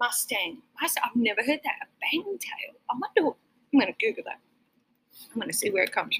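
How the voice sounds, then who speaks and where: In an Australian accent, a woman talks fairly quickly in a high voice with very wide pitch swings and long, frequent pauses, recorded dry and close with no echo. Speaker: restaurant owner and podcast host. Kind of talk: casual chat. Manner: friendly, jokey.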